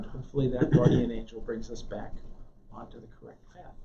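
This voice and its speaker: A man rattles along at a very fast pace with lively intonation, amid noticeable background noise and audible room echo. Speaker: Bible class teacher. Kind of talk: lecture. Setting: classroom with live audience, also streamed. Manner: soft-spoken, voice drops; halting. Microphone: too quiet for back of room.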